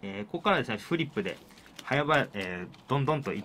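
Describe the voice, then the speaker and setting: Lively intonation runs through this man's speech. Light background noise can be heard. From Japan, Kawasaki (Kanagawa); Japan. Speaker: pro wrestling referee and show host; show host. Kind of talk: solo free talk; radio show talk. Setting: studio. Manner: many filler words, rambling. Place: studio. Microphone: studio mic.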